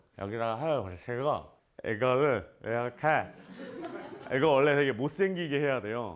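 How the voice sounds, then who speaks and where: An animated man's voice at medium pitch, with very wide pitch swings. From South Korea, Namyangju. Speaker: actor. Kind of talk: casual Q&A talk to students. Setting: school visit with students.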